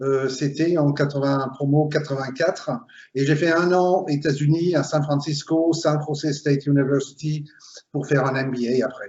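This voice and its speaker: A man's somewhat breathy voice, fairly high in pitch, comes at a moderate pace with monotone, flat intonation. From Belgium (Flemish, Limburg). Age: 50s. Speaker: recruiter, HR consultant. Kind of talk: interview.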